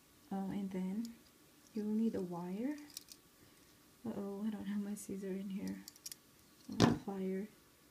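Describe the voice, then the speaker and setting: Speaking at a fairly slow pace with long, frequent pauses, a woman keeps a medium pitch and fairly even intonation over noticeable background noise. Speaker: craft tutorial maker. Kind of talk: casual craft tutorial talk.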